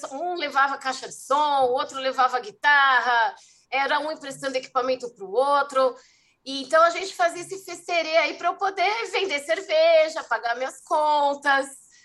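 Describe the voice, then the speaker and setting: Speaking at a moderate pace, a woman with a high pitch and a bright, sharp tone shows big swings in loudness. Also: ordinary pitch variation. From São Paulo city, Brazil. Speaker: festival producer. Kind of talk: casual interview.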